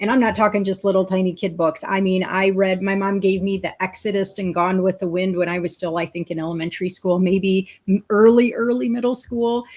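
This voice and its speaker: A woman's medium-pitched voice at a fairly quick pace with hardly any pauses. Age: 50s. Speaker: talk show host. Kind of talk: casual chat. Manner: fast; animated.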